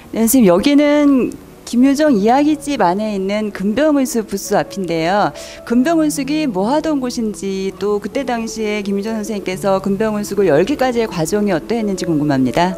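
A woman speaks at a medium pitch and a moderate pace, her voice making very wide pitch swings. Clear music sounds in the background. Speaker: interviewer. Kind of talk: interview question. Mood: polite, curious. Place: hall. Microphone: handheld.

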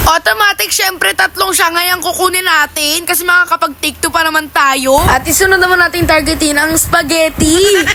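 Noticeable background noise sits behind a woman whose voice is raised and projected at an extremely high pitch. Her loudness stays very even, and she hardly pauses. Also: ordinary pitch variation, moderate pace. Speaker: vlogger. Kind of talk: casual vlog narration. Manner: animated.

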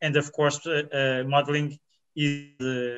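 A man with a Portuguese accent, fairly high-pitched and monotone with flat intonation, against a quiet background. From Portugal. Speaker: biologist; presenter. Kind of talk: conference talk; conference presentation. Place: home room.

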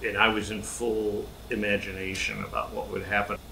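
A man with an American accent speaks at a moderate pace. There is audible room echo and noticeable background noise. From US Midwest, Wichita, Kansas. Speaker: sculptor. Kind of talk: casual explanation to camera. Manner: halting, with fillers and repeats.

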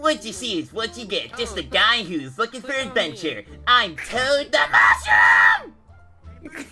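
A put-on character voice comes at a fairly high pitch and a moderate pace, with long, frequent pauses. Faint music sits in the background. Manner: strained, forced cheerful.

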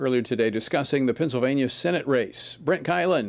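Very fast speech comes from a man. His pitch varies in an ordinary way. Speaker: TV show host. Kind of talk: news show presenting. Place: studio.

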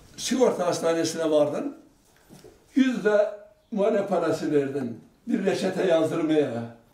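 High-pitched for a man, this speaker swings his pitch very widely at a fairly slow pace, with audible room echo. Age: 80s+. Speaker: elderly local resident. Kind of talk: interview answer. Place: home room.

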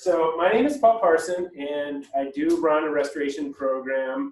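A man's voice carries ordinary pitch variation. Audible room echo surrounds it. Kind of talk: public talk. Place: bar.

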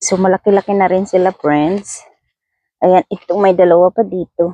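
This woman's medium-pitched voice has a dark, mellow tone and monotone, flat intonation, delivered at a fairly slow pace with a dry, close sound and no echo. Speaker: vlogger. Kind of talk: casual vlog talk. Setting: outdoors.

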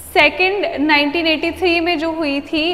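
Her pitch is extremely high for a woman, and this woman keeps her intonation fairly even. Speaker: teacher. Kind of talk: lecture. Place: classroom. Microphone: lapel.

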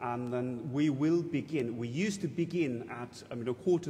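A somewhat breathy voice with ordinary pitch variation. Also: man. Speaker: priest or church officer giving notices. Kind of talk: church announcements. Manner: halting, chatty, with filler words. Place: church.

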